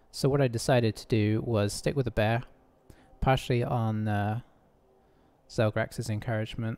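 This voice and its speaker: A man talks at a moderate pace and medium pitch. His tone is dark and mellow. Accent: British. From UK. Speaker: gaming streamer. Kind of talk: gameplay commentary. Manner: casual, hesitant with fillers.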